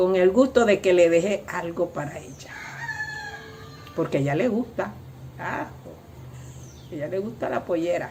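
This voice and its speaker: A woman's fairly low voice at a moderate pace, with lively intonation, big swings in loudness, long and frequent pauses, and noticeable background noise. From Panama, Antón (Coclé). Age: 80s+. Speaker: seamstress and cultural tradition bearer. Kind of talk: interview testimony. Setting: at her home.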